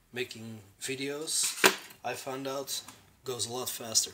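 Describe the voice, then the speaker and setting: Against noticeable background noise, a man at a medium pitch speaks at a fairly slow pace. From Belgium. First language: Dutch. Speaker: terrain crafting YouTuber. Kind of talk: tutorial. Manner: casual, with hesitations.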